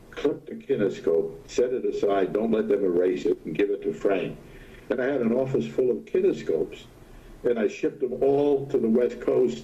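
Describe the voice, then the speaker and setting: A man with an American accent speaks at a moderate pace. Noticeable background noise runs behind him. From New York City (Brooklyn). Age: 90s. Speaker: retired TV weatherman. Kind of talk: interview. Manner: halting.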